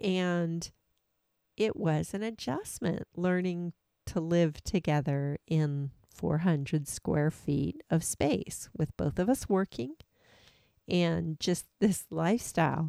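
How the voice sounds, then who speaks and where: Speaking at a very slow pace with an American accent, a woman has a dark, mellow tone and ordinary pitch variation, recorded dry and close with no echo on a very clean, silent background. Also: fairly low pitch for a woman. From Washington State. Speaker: podcast co-host, full-time RVer. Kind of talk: casual chat. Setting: in an RV.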